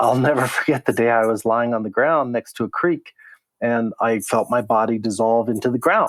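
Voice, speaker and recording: A man with a General American accent speaks in a plain, everyday voice at a medium pitch and moderate pace, with ordinary pitch variation, very even loudness and a dry, close sound with no echo. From Colorado, Denver. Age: 60s. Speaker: zero waste advocate. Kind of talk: interview.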